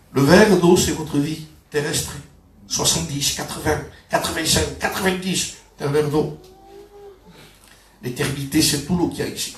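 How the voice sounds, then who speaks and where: Amid noticeable background noise and audible room echo, a man with a fairly high pitch speaks at a moderate pace with fairly even intonation and long, frequent pauses. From southern France, Perpignan. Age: 60s. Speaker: pastor. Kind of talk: sermon. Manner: halting, with repetitions.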